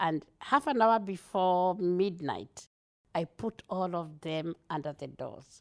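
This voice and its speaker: A woman with a Kenyan accent and a fairly low pitch speaks at a very slow pace with ordinary pitch variation, in a dry, close sound with no echo. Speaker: multicultural liaison officer for police. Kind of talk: interview. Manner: animated; talkative.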